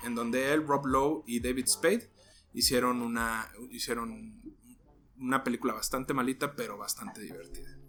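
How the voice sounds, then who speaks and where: A man speaks at a fairly quick pace. His pitch is medium. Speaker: podcast host. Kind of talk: casual storytelling podcast. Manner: halting.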